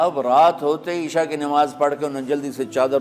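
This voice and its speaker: A man is speaking. Music plays in the background. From Pakistan. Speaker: Islamic scholar and preacher. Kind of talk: religious sermon (bayan) telling a story to an audience.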